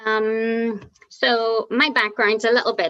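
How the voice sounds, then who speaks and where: In a Northern Irish accent, a voice with a bright, sharp tone sounds dry and close, with no echo. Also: woman. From Northern Ireland. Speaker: paraprofessional. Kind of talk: panel discussion. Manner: halting, many fillers.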